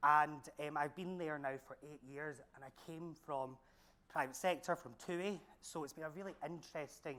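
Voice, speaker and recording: A man's bright, sharp, fairly high voice in a strong Glaswegian accent, with fairly even intonation at a moderate pace. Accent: thick Glaswegian Scottish. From Scotland, Glasgow. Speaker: senior lecturer. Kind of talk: panel talk.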